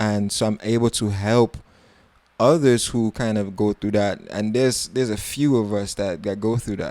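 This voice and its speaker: In an American accent, the voice has a dark, mellow tone and fairly even intonation at a moderate pace. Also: man, fairly low pitch for a man. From New York (Harlem), Trinidadian family. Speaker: soca artist and producer. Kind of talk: casual interview chat.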